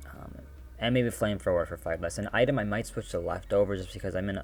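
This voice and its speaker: With music playing behind him, a man speaks in a very deep, low pitch and lively intonation. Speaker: gaming video creator. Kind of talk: casual gaming commentary. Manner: hesitant, many fillers.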